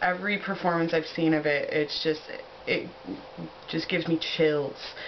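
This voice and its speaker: Over noticeable background noise, a woman with an American accent talks fairly slowly in a fairly low voice. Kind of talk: casual talk to camera. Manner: enthusiastic, chatty.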